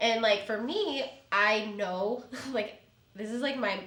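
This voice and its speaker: The speaker talks at a fairly slow pace in an animated tone. Audible room echo and noticeable background noise fill the recording. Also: woman. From Chicago. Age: 30s. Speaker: real estate agent. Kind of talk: casual chat. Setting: podcast studio.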